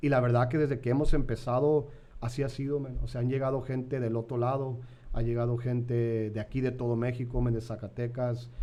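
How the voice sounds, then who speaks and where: This man talks at a fairly quick pace in a medium pitch, with a dark, mellow tone. His intonation is monotone and flat, and there is audible room echo. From San Diego, California, to Mexican parents. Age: 30s. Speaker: pastor. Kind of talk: podcast interview. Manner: casual, repetitive fillers.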